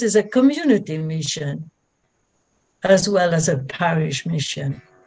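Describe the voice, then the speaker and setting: A woman speaks at a fairly slow pace, somewhat breathy. Her pitch swings very wide. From France. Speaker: religious sister. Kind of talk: personal testimony.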